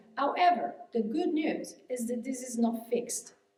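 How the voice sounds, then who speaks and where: A woman speaks at a high pitch with a dark, mellow tone and a fairly slow pace. Audible room echo surrounds her voice. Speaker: hypnotherapist and mindset coach giving a keynote. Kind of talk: keynote speech. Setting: conference stage with audience. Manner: halting, many fillers and restarts.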